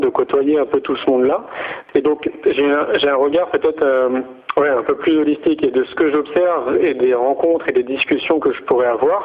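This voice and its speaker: A man talks at a moderate pace while noticeable background noise continues. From France. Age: 40s. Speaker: entrepreneur in education. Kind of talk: radio interview. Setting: radio studio. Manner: hesitant, many fillers.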